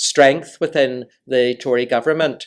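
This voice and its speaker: The recording is very clean with total silence behind it, and a man's mid-range pitch rises and falls in an ordinary way. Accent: Northern Irish. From Northern Ireland. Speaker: diplomat. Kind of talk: lecture talk to audience.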